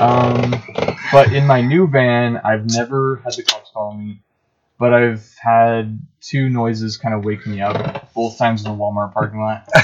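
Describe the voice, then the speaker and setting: Fairly slow and fairly even in intonation, a man speaks at medium pitch. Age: 20s. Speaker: electrician and van dweller. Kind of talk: casual chat. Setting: in the back of a van.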